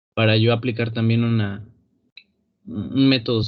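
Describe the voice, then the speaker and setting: At a fairly slow pace, a man talks in a medium-pitched voice with monotone, flat intonation. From Matamoros, Tamaulipas, Mexico. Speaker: student. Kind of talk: class discussion. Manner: talkative, verbose; halting.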